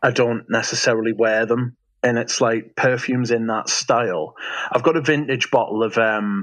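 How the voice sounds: With a Geordie accent, a man speaks at medium pitch and a moderate pace.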